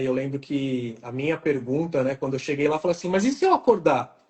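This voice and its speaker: Speaking at a fairly quick pace, the man has a fairly high, somewhat breathy voice with ordinary pitch variation. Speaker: oral and maxillofacial surgeon. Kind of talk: live stream interview. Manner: fast.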